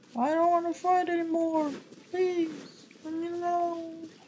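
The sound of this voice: With audible room echo, a woman speaks at an extremely high pitch and a fairly slow pace, in a slightly mellow tone with little pitch movement.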